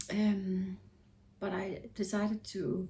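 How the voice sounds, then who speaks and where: A woman speaks with a Danish accent. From Denmark. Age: 40s. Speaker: knitting podcaster. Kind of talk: casual vlog talk. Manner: hesitant, with fillers.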